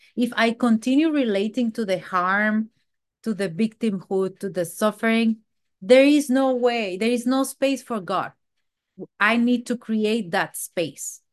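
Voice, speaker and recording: Fairly slow speech from a woman with a Mexican accent, fairly high in pitch, with ordinary pitch variation and a quiet background. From Mexico. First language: Spanish. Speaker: twelve-step meeting speaker. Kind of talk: recovery testimony. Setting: video call.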